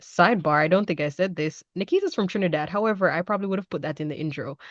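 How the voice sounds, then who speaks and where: A woman speaks at a very fast pace with a fairly low pitch and ordinary pitch variation, over a quiet background. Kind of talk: casual interview chat. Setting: podcast recording.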